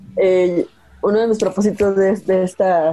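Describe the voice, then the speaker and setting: Music plays in the background as a woman speaks at a fairly slow pace. Her intonation stays monotone and flat. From Veracruz, Mexico. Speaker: UX researcher, sociologist. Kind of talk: casual interview. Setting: video call.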